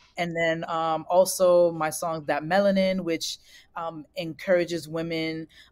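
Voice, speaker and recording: A woman with a New York accent speaks at a fairly slow pace. Her fairly low voice has monotone, flat intonation. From US Northeast, Brooklyn, New York. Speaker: singer-songwriter. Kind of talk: interview.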